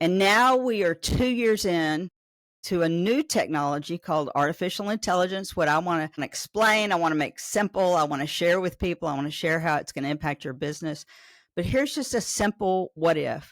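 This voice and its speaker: Lively intonation and an animated tone come through in a Southern US accent. The sound is dry and close with no echo, on a very clean recording with a silent background. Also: woman, fairly low pitch for a woman. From Arkansas, Pine Bluff. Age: 60s. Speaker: AI business owner, state task force member. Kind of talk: podcast interview.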